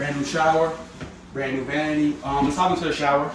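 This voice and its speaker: A man with an American accent and a fairly high pitch talks at a fairly quick pace, with noticeable background noise and audible room echo. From New York City (Bronx). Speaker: landlord vlogger. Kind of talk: casual vlog walkthrough. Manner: casual, joking.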